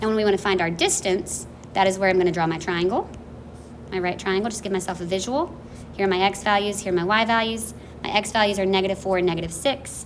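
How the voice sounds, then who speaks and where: Someone talks at a very fast pace with fairly even intonation amid audible room echo. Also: woman, medium pitch for a woman. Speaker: math teacher. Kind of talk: lecture.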